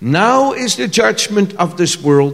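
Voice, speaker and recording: A man talks at a very slow pace with a high pitch. Noticeable background noise sits behind him. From Netherlands. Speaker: visiting preacher. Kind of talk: sermon. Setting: church stage with audience, speaking through an interpreter.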